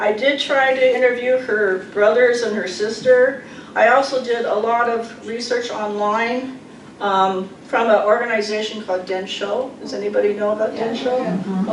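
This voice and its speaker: A woman's fairly high voice at a moderate pace, fairly even in intonation, with noticeable background noise. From Pacific Northwest. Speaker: poet. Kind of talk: talk between poems at a reading. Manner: casual, hesitant.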